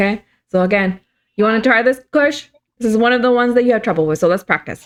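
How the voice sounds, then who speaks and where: Talking at a very fast pace, a woman keeps a very even loudness and a fairly high pitch with ordinary pitch variation. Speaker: Hebrew teacher for church youth. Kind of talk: online language lesson. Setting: video call. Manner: halting.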